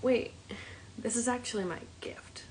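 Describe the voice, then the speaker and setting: A woman is speaking. Her pace is moderate. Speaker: self-empowerment coach. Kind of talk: livestream talk. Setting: live stream. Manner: animated.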